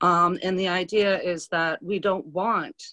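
A woman with a fairly low-pitched voice is heard against a quiet background. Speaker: senior center assistant director. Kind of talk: event introduction. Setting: video call. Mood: friendly, smiling. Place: home room. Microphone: video call.

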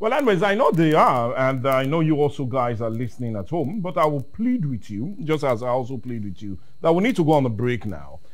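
Against a quiet background, a man talks at a fairly quick pace with hardly any pauses. His pitch is medium, with very wide pitch swings. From Nigeria. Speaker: TV current affairs host. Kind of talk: interview. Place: studio. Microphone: lapel.

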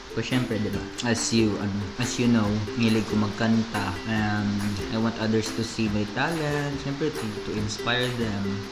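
Clear music sounds in the background. Over it, a man talks at a moderate pace. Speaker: YouTuber. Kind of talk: casual talk to camera. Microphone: studio mic.

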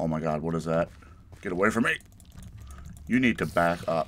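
A man's very deep, low voice at a fairly quick pace. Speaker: gaming YouTuber; gamer. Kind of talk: let's play commentary. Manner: casual, halting with fillers. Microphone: poor recording quality.

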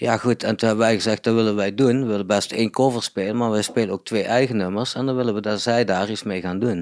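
Very fast, fairly even speech with hardly any pauses, on a very clean recording with a silent background. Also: man, medium pitch for a man. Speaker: electronic music producer in a band. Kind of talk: casual interview chat. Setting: living room.

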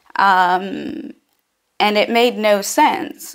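The speech moves at a very slow pace. Its intonation is lively. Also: woman. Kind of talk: personal account to camera. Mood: serious, reflective. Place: home room. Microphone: phone near.

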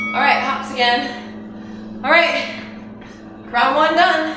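With music in the background and audible room echo, a woman talks in a raised, projected voice at a fairly slow pace, her pitch varying in an ordinary way. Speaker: home fitness instructor. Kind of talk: workout instruction and casual chat. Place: home room. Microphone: camera far.

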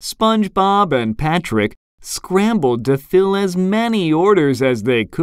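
The background is quiet as the words are read aloud in a natural voice.

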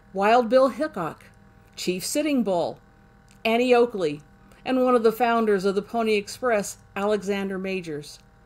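The woman's pitch varies in an ordinary way as she talks fairly slowly. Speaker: history channel host. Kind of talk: documentary narration. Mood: warm, enthusiastic. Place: home room. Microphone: webcam.

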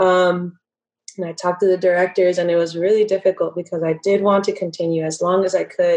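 In an American accent, a woman talks at a fairly quick pace with a medium pitch. Her intonation is monotone and flat, and the background is quiet. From California. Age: 20s. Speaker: professional dancer and dance instructor; podcast guest. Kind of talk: casual interview. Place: home room. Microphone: video call.

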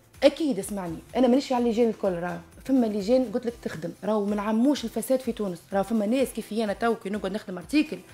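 A woman talks at a fairly high pitch while faint music plays in the background. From Tunisia. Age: 30s. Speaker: university lecturer with a doctorate. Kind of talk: radio interview. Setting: radio studio. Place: studio. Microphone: studio mic.

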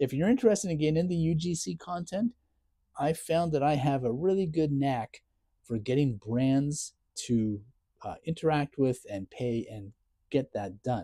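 The voice is somewhat breathy with a dark, mellow tone and very wide pitch swings, moving at a moderate pace in a dry sound with no echo over a quiet background. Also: man. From Ontario, Canada. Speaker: content creator; full-time caregiver. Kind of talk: casual vlog chat, personal update. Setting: home, self-filmed video. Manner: sarcastic, self-deprecating; venting, frustrated, emotional. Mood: grieving, frustrated, ranting. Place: garage. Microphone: lapel.

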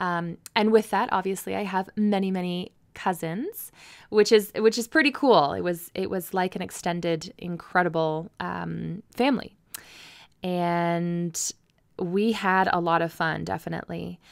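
A woman's ordinary speaking voice with a Canadian accent, fairly low in pitch with ordinary pitch variation, at a fairly slow pace, on a very clean recording with a silent background. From Ontario, Canada (rural, near Mitchell). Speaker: podcast host, massage therapist. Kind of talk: personal storytelling monologue.

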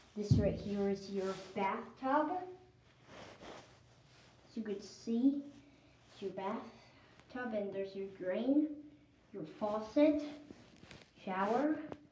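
Audible room echo and light background noise surround a woman who speaks at a very slow pace, with long, frequent pauses and ordinary pitch variation. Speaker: guest. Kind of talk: casual vlog chat. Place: bathroom. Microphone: phone near.

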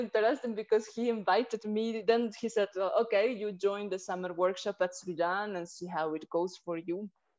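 Against a quiet background, a woman speaks at medium pitch with a Peruvian accent. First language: Spanish. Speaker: Odissi dancer. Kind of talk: interview answer. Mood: warm, smiling storytelling. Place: home room. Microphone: video call.

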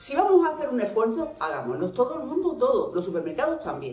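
With an Andalusian accent, a woman speaks in very wide pitch swings, with audible room echo and faint music in the background. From Andalusia, Spain. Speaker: vlogger. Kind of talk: casual talk to camera. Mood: annoyed, complaining. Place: home room.

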